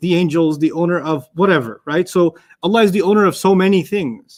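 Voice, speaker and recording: A man's high-pitched voice at a fairly quick pace. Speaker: Arabic grammar teacher. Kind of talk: lecture Q&A. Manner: animated.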